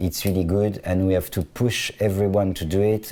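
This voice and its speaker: In a French accent, a man speaks at a moderate pace with a very deep, low pitch and a dark, mellow tone. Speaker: fashion designer. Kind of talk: interview conversation. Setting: studio. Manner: halting, frequent restarts.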